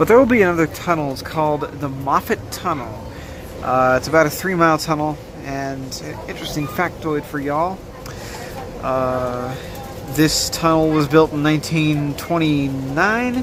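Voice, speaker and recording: Moderate pacing against noticeable background noise. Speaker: vlogger. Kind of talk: travel vlog narration. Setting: on a train.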